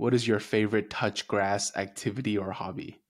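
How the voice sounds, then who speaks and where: A man's ordinary speaking voice, fairly low-pitched with fairly even intonation, in a very clean recording against a silent background. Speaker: podcast co-host. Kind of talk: casual interview chat.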